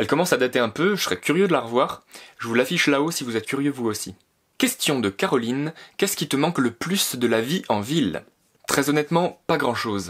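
Over a quiet background, a man talks at a fairly quick pace. His tone is enthusiastic. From France, Alsace; France. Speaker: YouTuber, graphic designer living on a farm; YouTuber. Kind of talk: vlog Q&A monologue. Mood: calm, reflective. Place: home room.

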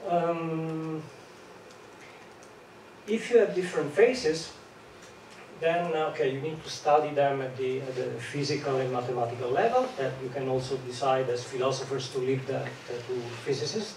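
A man speaks with ordinary pitch variation. Room echo is audible. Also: medium pitch for a man, moderate pace, slightly mellow tone.

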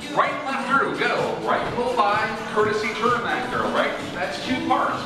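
A man speaks with audible room echo while clear music plays in the background. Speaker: caller. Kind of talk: rhythmic dance calling and brief teaching. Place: hall. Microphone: pa.

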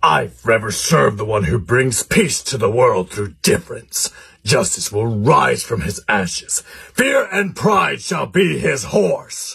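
Medium in pitch, a man speaks at a fairly slow pace. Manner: preachy, solemn.

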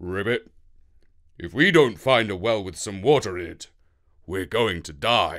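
A man uses a put-on character voice at a fairly low pitch and a moderate pace, with long, frequent pauses, on a very clean recording with a silent background. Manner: weary, desperate.

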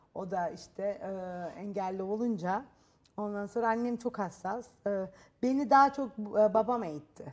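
Ordinary pitch variation runs through speech delivered at a fairly slow pace. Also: woman. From Turkey. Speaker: talk show guest. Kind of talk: TV talk show interview. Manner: halting, with fillers. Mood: calm, reflective. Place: studio. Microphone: lapel.

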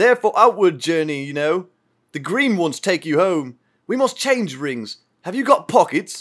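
This is an unforced reading voice. A quiet background sits behind it.

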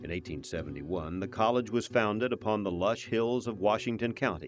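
Over music in the background, a man talks at a fairly quick clip in a fairly low pitch, with ordinary pitch variation. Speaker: narrator. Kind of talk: documentary narration.

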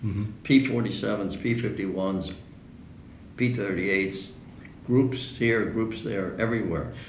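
A man with a New York accent speaks at a moderate pace, fairly low in pitch with ordinary pitch variation. Long, frequent pauses break up his speech, with light background noise and audible room echo. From New York City. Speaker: World War II veteran fighter pilot. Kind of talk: interview answer. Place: home room. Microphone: camera far.

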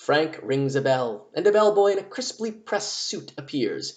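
Lively intonation over plain reading aloud

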